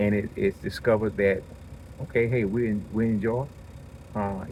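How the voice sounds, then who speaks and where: Mumbling at a moderate pace, a man speaks at a medium pitch with fairly even intonation. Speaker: podcaster. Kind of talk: casual monologue. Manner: halting.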